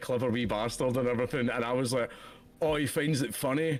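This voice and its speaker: A Scottish accent at a fairly quick pace. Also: man. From Scotland. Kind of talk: casual chat. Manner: animated.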